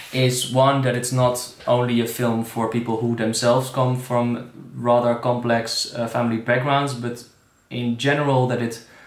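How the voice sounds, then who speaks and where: Audible room echo follows a man speaking at a fairly slow pace. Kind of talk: direct-to-camera festival introduction. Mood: calm, sincere, slightly hesitant. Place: kitchen. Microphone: phone near.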